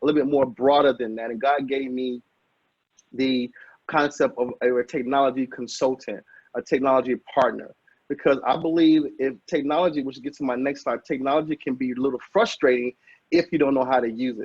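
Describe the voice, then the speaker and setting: A man with an American accent, fairly high pitch, an energetic tone and a fairly quick pace. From Chicago, with Alabama roots. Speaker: technology consultant, business trainer. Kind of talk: webinar presentation. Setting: video call. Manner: fast; energetic, preacher-like.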